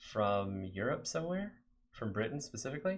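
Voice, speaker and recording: With an American accent, a man at medium pitch speaks at a moderate pace over light background noise. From Texas, San Antonio; Texas. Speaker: game developer streamer; live streamer coding. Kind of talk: live coding stream chat. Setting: live stream. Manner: halting, many fillers. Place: home room.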